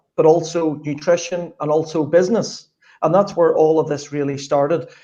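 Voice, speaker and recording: A man with a Northern Irish accent speaks at a fairly high pitch for a man. His tone is dark and mellow, and his intonation stays fairly even. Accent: Northern Irish (Belfast). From Northern Ireland, Belfast. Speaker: sports strategist. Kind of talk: interview.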